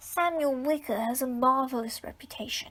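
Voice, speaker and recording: Putting on a character voice, a woman speaks at a moderate pace in a high pitch with ordinary pitch variation. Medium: read story. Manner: dramatic, indignant.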